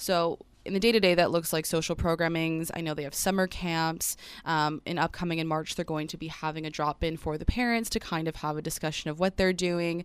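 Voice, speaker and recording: At a fairly quick pace, a woman speaks in a normal speaking voice. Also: fairly low pitch for a woman, very clean recording, silent background. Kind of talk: relaxed radio guest chat in a live interview. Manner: bubbly, warm, quick to laugh.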